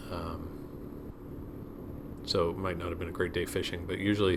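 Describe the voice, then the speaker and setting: A man with a very deep, low pitch speaks in a monotone, flat way, with audible room echo. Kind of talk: ride-along commentary. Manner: halting.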